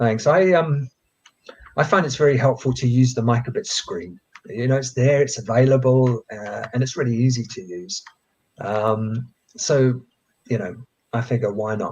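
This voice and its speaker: A somewhat breathy man talks at a moderate pace and a medium pitch. His pitch varies in an ordinary way, and he takes long, frequent pauses. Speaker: coding educator. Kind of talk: tutorial. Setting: live stream.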